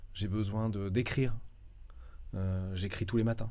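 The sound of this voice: A man talks at a fairly slow pace in a fairly low, dark and mellow voice with fairly even intonation.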